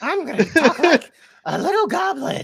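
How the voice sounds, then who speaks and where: The male speaker performs a put-on character voice. It sits at an extremely high pitch. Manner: playful, character voice.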